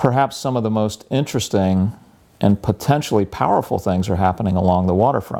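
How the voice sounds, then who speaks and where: Heard on a very clean recording with a silent background, a man with a fairly low, dark, mellow voice talks at a fairly quick pace with ordinary pitch variation. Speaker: college professor and environmental center director. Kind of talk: interview. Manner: soft-spoken; hesitant, many fillers.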